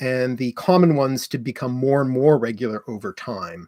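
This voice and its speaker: Recorded very cleanly against a silent background with a dry, close sound and no echo, a man with an Ontario accent and a dark, mellow tone talks at a moderate pace with ordinary pitch variation. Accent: Canadian, Ontario, with Canadian raising. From Canada, Ottawa. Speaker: etymology educator and channel co-host. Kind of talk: live stream Q&A chat. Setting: live stream.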